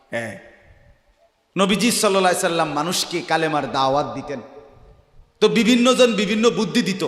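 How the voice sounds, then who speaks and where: With a high pitch and lively intonation, a man speaks in a passionate tone. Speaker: Islamic preacher giving a waz. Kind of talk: Islamic sermon (waz) delivered to an audience. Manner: passionate, rhetorical, questioning the audience.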